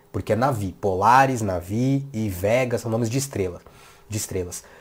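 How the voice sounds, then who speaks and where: The man's voice is somewhat breathy and fairly low in pitch. He sounds animated, with ordinary pitch variation. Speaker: tech youtuber. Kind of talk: tech commentary video. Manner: fast.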